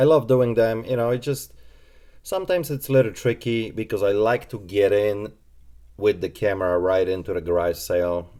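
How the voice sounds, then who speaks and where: With a Polish accent, a man talks at a fairly low pitch in a dark, mellow tone. His pace is moderate and his pitch variation ordinary. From Poland. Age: 20s. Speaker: reseller and shop owner. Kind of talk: live stream Q&A. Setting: live stream.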